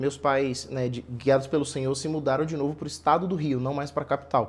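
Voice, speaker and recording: A man with a normal speaking voice talks at a moderate pace, his pitch fairly high and his intonation fairly even. The background is quiet. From Brazil, northeastern sertão and Rio de Janeiro state. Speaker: missionary worker. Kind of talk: interview.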